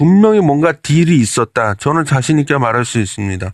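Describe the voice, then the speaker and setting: With very wide pitch swings, a man speaks at a fairly quick pace, recorded with a dry, close sound, no echo and a quiet background. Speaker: stock and current affairs commentator. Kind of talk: casual commentary monologue. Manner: conversational, animated.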